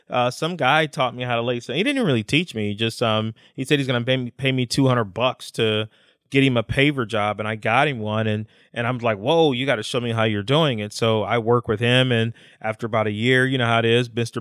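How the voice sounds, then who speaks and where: An unremarkable speaking voice belongs to a man of medium pitch. His intonation is fairly even and his pace moderate. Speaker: podcast co-host. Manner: casual, emotional storyteller.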